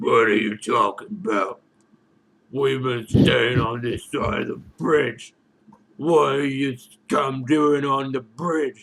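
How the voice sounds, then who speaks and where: A man's raspy put-on character voice at medium pitch and a fairly slow pace. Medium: actual play. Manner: blustering, defensive.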